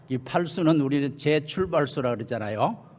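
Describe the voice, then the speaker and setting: There is noticeable background noise as a man talks with a fairly high pitch. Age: 80s. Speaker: retired church leader. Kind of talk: speech. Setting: church. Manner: halting.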